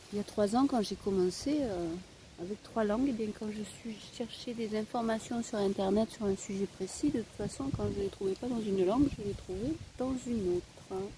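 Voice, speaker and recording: With a Provençal accent, a woman speaks at a moderate pace, her fairly high pitch showing ordinary variation. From Spain. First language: Spanish (speaking French). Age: old. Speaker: vlogger. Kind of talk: casual vlog monologue. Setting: outdoors. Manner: hesitant, many fillers.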